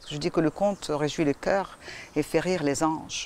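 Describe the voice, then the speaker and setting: A woman with an Arabic accent at a fairly quick pace. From Morocco. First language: Arabic (speaking French). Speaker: storyteller. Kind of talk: interview.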